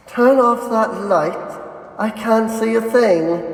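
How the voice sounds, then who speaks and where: Delivered in a put-on character voice with a fairly high pitch, the speech moves at a very slow pace against a clear echo. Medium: actual play. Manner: curt, demanding.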